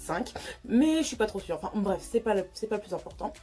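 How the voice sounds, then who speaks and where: A woman talks at a fairly quick pace and medium pitch with very wide pitch swings. Noticeable background noise is present. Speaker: youtuber. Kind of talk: storytime vlog. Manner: stutters often; hesitant, many fillers.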